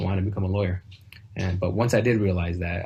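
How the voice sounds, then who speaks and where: Over noticeable background noise, a man with a Detroit accent talks at a very fast pace, his very deep, low voice keeping a fairly even intonation. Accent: American Midwest, Detroit. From US Midwest, Southwest Detroit. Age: 20s. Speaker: graduating student speaker. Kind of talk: graduation speech. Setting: home video call. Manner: hesitant, many filler words.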